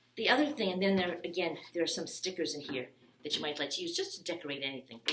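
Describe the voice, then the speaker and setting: Noticeable background noise sits behind a woman talking at a very fast pace. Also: fairly low pitch for a woman, lively intonation. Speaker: children's librarian. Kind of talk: craft tutorial. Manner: halting, many ums.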